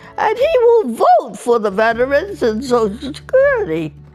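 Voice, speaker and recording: Amid noticeable background noise, a woman with an American accent talks at a moderate pace, her pitch swinging very widely. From US Northeast. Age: 80s+. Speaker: centenarian interviewee, retired secretary and volunteer. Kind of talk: interview. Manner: halting.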